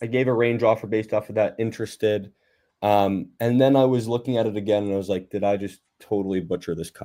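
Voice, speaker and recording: A man with a New Jersey accent speaks at medium pitch in a dark, mellow tone. He uses ordinary pitch variation on a very clean recording with a silent background. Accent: New Jersey American. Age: 20s. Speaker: real estate investor. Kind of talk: casual chat. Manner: casual, halting.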